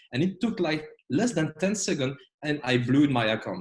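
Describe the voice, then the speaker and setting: Speaking at a moderate pace with a French accent, a man sounds somewhat breathy and uses lively intonation. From Belgium, French-speaking. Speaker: trading educator. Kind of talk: online trading lecture. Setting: video call. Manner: hesitant, many fillers.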